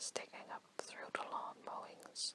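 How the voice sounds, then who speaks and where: Whispering over noticeable background noise. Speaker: ASMR storyteller. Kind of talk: whispered bedtime story reading. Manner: soft, whispered, relaxing.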